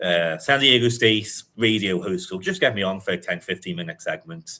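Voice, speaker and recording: With a Liverpool accent, a man talks at a fairly quick pace in a fairly low pitch, with a bright, sharp tone and ordinary pitch variation. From England, Liverpool. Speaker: sports journalist. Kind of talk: casual chat. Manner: frequent fillers and hesitations.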